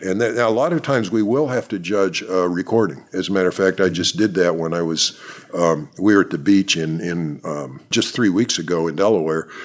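A man with an American accent speaks at a fairly quick pace, hardly pausing at all. His pitch is very deep and low, with ordinary variation. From central Pennsylvania. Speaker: expert birder. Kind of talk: interview. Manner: halting.

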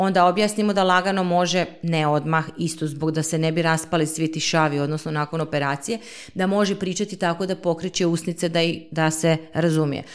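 With an unremarkable speaking voice, a woman talks at a fairly quick pace with hardly any pauses, her pitch fairly low and her intonation fairly even. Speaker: speech therapist. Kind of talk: interview.

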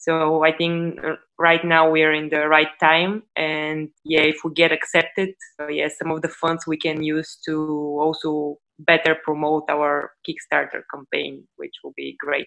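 At a fairly slow pace, a woman with a Bulgarian accent speaks in a very deep, low voice with monotone, flat intonation. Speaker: startup CEO. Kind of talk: interview.

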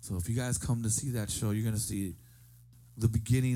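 A man with an American accent, fairly low pitch, a dark, mellow tone, a somewhat breathy quality, and ordinary pitch variation. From US. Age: 40s. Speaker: musician. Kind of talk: casual chat. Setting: studio.

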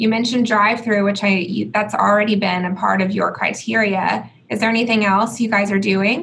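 Barely pausing, a woman speaks in a monotone, flat intonation with vocal fry and very even loudness, with audible room echo. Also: medium pitch for a woman, moderate pace. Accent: American. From Georgia, US South (Atlanta). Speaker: podcast host, commercial real estate executive. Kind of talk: interview.

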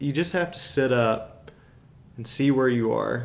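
A man with an American accent talks at a fairly slow pace. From US South, Birmingham, Alabama. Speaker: amateur cyclist. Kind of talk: casual chat. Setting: at home.

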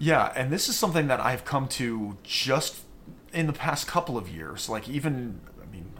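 A man's normal speaking voice with an American accent, lively intonation and a moderate pace. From US, Western Maryland small town. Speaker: amateur marathon runner. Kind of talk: casual interview chat.

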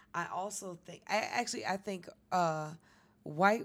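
A woman's plain, everyday voice with an American accent, medium in pitch, with ordinary pitch variation at a fairly slow pace. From New York City. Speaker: comedian. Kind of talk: casual chat. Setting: studio.

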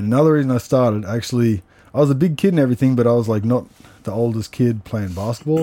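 An Australian man with a dark, mellow tone talks at a very fast pace, with an Australian accent. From Australia, Canberra. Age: 30s. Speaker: martial artist and wrestling coach. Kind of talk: casual chat. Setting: sauna at a martial arts gym.

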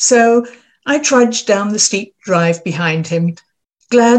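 A natural reading voice with ordinary pitch variation sits over a quiet background.

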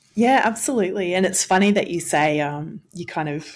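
An Australian accent marks this woman's fairly low voice, moderate in pace with ordinary pitch variation, on a very clean recording with a silent background. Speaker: education researcher, former school principal. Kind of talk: interview.

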